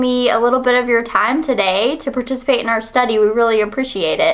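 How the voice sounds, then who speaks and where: Over noticeable background noise, a woman talks at a fairly quick pace in a high pitch. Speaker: university researcher. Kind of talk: research interview.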